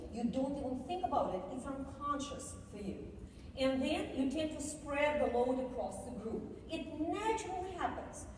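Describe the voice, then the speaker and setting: With audible room echo and noticeable background noise, a woman with a high pitch and a Russian accent speaks with lively intonation. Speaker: keynote speaker on cultural diversity. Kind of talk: keynote speech. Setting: conference stage with audience. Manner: animated, conversational with audience.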